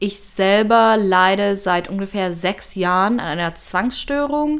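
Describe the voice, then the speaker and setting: Speaking at a very slow pace, a woman uses a medium pitch and ordinary pitch variation. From Germany, Leipzig. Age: 20s. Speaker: university student. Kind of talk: personal testimony.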